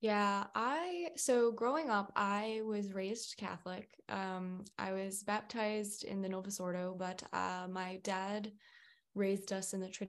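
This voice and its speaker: A woman at medium pitch with fairly even intonation, an ordinary speaking voice. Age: 20s. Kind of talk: casual interview chat. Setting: video call.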